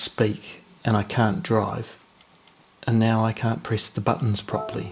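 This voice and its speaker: Music in the background behind a man at medium pitch and fairly slow pace. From New Zealand. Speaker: sim racing streamer. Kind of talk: live gameplay commentary. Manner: casual, chatty.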